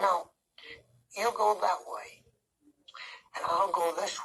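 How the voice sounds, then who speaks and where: A raspy, cartoonish character voice at middle pitch and a fairly slow pace. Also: female-sounding voice. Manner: soft, slow, hesitant.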